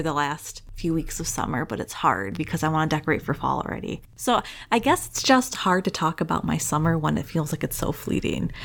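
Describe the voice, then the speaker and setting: A woman talks at a fairly quick pace with hardly any pauses. Her voice is fairly low for a woman and has vocal fry. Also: very clean recording, silent background. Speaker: podcast host. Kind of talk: casual chat. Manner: storyteller, smooth.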